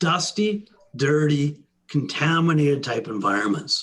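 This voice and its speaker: A man talks in an ordinary speaking voice, pitched fairly high. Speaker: sales engineer presenting products. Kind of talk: webinar product presentation. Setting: online webinar.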